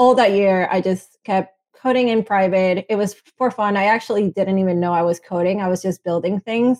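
A woman with a Venezuelan accent speaks at a medium pitch with fairly even intonation and hardly any pauses. The sound is dry and close, with no echo. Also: moderate pace. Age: 20s. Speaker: software engineer and founder. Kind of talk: interview.

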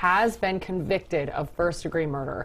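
A woman speaks in a plain, everyday voice. Her pitch is fairly low, with ordinary pitch variation. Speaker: TV news show host. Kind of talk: casual banter on a live TV news show. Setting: TV studio. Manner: joking, playful.

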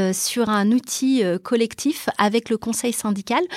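With a dry, close sound and no echo, a woman with a normal speaking voice talks at a fairly high pitch with ordinary pitch variation. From Brazil, then Toulouse from age 12. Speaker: real estate entrepreneur, property management founder. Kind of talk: interview.

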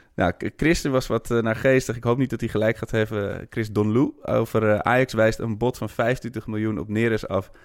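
The speech moves at a moderate pace with hardly any pauses and fairly even intonation. The recording is very clean, with a silent background. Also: man, medium pitch for a man. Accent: Amsterdam. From Amsterdam. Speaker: football fan podcaster. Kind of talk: casual chat.

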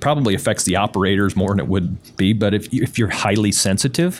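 This man uses a normal speaking voice, moving at a fairly quick pace while his pitch varies in an ordinary way. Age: 50s. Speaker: carpet cleaning business owner. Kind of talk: interview.

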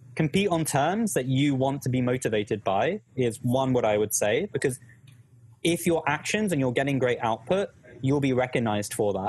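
A man with a British accent speaks at a medium pitch, somewhat breathy, with lively intonation and very even loudness. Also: moderate pace. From United Kingdom. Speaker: education YouTuber and startup employee. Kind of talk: casual chat in live Q&A stream. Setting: live stream video call.

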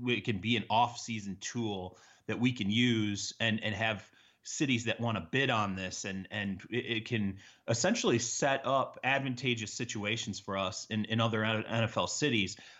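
In an American accent, a man talks at a moderate pace and medium pitch with fairly even intonation and an ordinary speaking voice. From Michigan, US Midwest. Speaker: NFL reporter. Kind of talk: casual interview.

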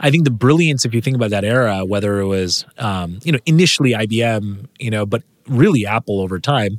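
Medium in pitch, a man talks at a fairly quick pace. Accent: West Coast US. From California, San Jose. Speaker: venture capitalist. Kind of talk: interview.

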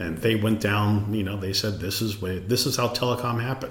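Someone with an American accent speaks at a fairly quick pace with fairly even intonation, amid audible room echo and noticeable background noise. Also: man. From Los Angeles, US. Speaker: venture capitalist. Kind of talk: interview.

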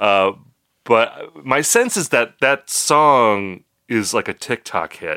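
This man's voice has a bright, sharp tone and lively intonation. The recording is very clean and dry, close with no echo, over a silent background. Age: 40s. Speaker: music podcast host. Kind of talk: casual chat.

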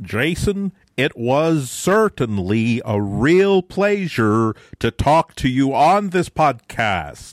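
Putting on a robotic character voice with an American accent, a man speaks very slowly at medium pitch, his pitch swinging very widely while his loudness stays very even. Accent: American, faked.

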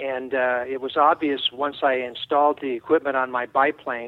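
A medium-pitched man delivers his lines with monotone, flat intonation. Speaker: aerobatic pilot, flight experience business owner. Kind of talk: interview.

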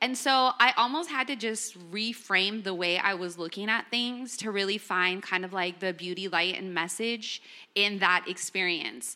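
With a Californian accent and a bright, sharp tone, a woman speaks at a medium pitch and a moderate pace. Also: ordinary pitch variation, hardly any pauses. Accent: Californian American English. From Los Angeles. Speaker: entrepreneur and musician. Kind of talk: panel discussion. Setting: living room with audience.

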